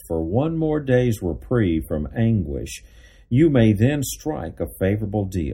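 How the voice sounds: The clip features a natural reading voice. It is delivered throughout.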